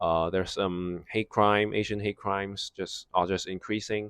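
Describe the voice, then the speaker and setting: The recording is very clean with a silent background and a dry, close sound with no echo. A man with a non-native accent talks at a moderate pace in a fairly low pitch. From Hong Kong. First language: Cantonese. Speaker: vlogger. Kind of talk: casual storytime monologue. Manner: halting, many fillers and restarts.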